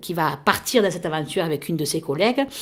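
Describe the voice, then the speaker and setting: The recording is very clean, with a silent background. A woman speaks with lively intonation. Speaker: radio host. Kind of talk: radio interview. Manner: hesitant.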